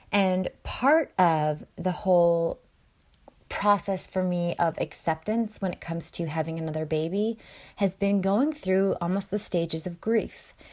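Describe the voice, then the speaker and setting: Recorded very cleanly against a silent background, a woman speaks at a medium pitch and a fairly slow pace. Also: ordinary pitch variation. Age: 30s. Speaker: podcast host, mom blogger. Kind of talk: solo podcast monologue. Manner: animated.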